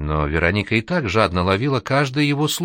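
This is plain reading aloud. The text is read out plainly.

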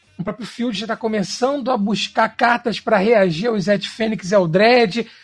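High male register and fairly even intonation from a man. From Brazil, Rio de Janeiro. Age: 30s. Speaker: Magic card game streamer. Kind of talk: casual podcast interview.

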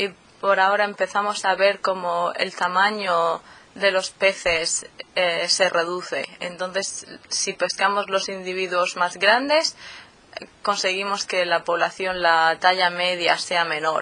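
A woman's medium-pitched voice at a very slow pace, fairly even in intonation, amid noticeable background noise. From Murcia, southeastern Spain. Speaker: PhD student in fisheries biology. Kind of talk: interview. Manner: hesitant, many fillers.

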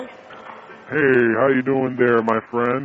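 Using a put-on character voice, a man speaks at a medium pitch in a monotone, flat intonation over clear background noise. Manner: friendly, casual.

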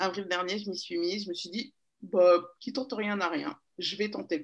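Fairly slow delivery from a woman with a medium-pitched voice. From Paris region, France. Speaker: magazine founder and DJ. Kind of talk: interview. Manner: hesitant, many fillers.

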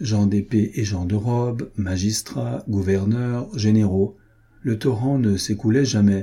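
Intonation holds fairly even. It is a natural reading voice.

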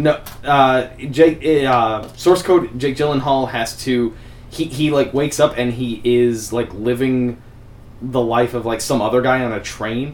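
Here is a man with a normal speaking voice at a medium pitch. He goes at a fairly slow pace with fairly even intonation. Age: 20s. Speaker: podcast host. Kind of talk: casual chat.

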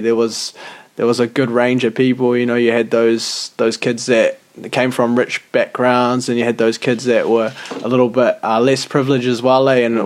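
A man with a New Zealand accent speaks at a medium pitch in a monotone, flat intonation. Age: 20s. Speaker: podcast co-host. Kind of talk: casual chat.

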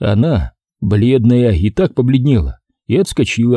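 A natural reading voice with ordinary pitch variation, against a quiet background

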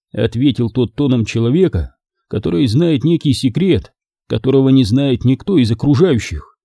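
With quiet all around, the clip is plain reading aloud.

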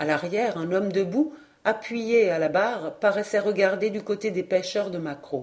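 The pitch variation is ordinary as this person reads aloud in a natural voice.

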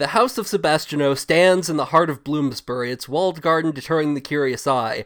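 Here a man uses an ordinary speaking voice, pitched fairly high. His pace is moderate, with ordinary pitch variation. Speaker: podcast host. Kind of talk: casual chat; reads passage aloud around 13:58 in a dry, bookish tone. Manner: laughs while reading, amused, lightly formal.

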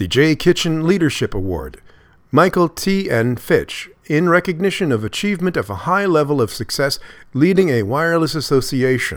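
An ordinary speaking voice at a moderate pace. The recording is very clean, with a silent background. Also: man, fairly high pitch for a man, lively intonation. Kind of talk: news reading. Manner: formal, steady, dense with regulatory wording read clearly.

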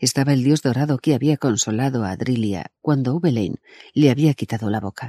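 Ordinary pitch variation from an unforced reading voice, quiet background behind it

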